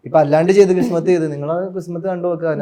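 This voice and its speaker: Speaking with a Kochi accent, a man with a high pitch and a dark, mellow tone keeps a fairly even intonation. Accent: Kochi Malayalam. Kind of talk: casual, conversational.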